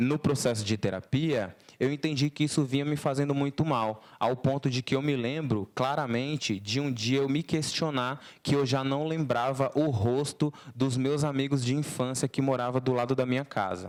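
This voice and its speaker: Moderate pace from a man of medium pitch, fairly even intonation and very even loudness, on a very clean recording with a silent background. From Brazil, interior of Alagoas (Northeast). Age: 20s. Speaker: artist. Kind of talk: lecture to students. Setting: talk with student audience. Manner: casual, slangy.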